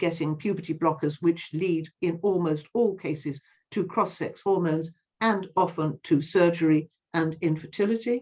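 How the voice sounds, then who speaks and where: Here a woman speaks at a fairly low pitch. Her tone is dark and mellow. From England, West Midlands (Sutton Coldfield). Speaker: campaigner. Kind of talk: interview. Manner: halting.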